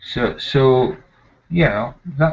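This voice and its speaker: A man is speaking. He has a Scottish accent. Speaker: nurse. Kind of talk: casual chat. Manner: halting.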